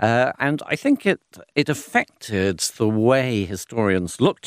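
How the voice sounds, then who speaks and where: A man's medium-pitched voice swings very widely in pitch, with a dry, close sound with no echo on a very clean recording with a silent background. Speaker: classics professor. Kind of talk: radio panel discussion.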